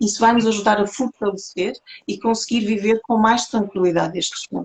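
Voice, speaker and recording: Her pitch shifts in an ordinary way. The woman keeps to a moderate pace. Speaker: holistic therapist. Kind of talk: interview talk on spirituality.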